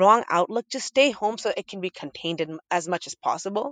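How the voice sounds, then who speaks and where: In a plain, everyday voice, a woman with an American accent talks at a medium pitch and a fairly quick pace, with lively intonation. The sound is dry and close with no echo, over a quiet background. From Boston area, Massachusetts. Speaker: radio host and podcaster. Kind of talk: interview conversation.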